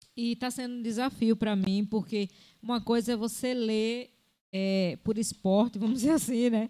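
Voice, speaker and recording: A woman's fairly high voice, dark and mellow in tone, with monotone, flat intonation. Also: moderate pace. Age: 60s. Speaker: podcast co-host, former teacher and psychology student. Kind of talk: casual chat.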